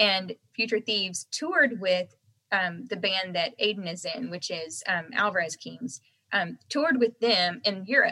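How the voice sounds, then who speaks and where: A woman speaks with an American accent in a bright, sharp tone, at a fairly slow pace with lively intonation. The recording is dry and close, with no echo. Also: medium pitch for a woman. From North Carolina, US. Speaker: country singer. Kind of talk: casual interview chat. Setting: remote call.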